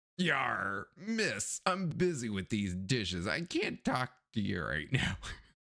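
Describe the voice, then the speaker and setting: Putting on a character voice, a man speaks at medium pitch and a fairly slow pace with very wide pitch swings. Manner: curt, busy.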